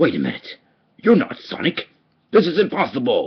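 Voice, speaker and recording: Pitched high, a man's put-on character voice comes through. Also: moderate pace. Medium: voice reel. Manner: villainous, gloating.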